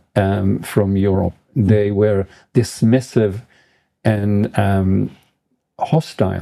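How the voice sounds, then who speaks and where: A man speaks at a very slow pace. His tone is dark and mellow. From Israel. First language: Yiddish. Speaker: professor. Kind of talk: interview. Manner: hesitant, frequent ums.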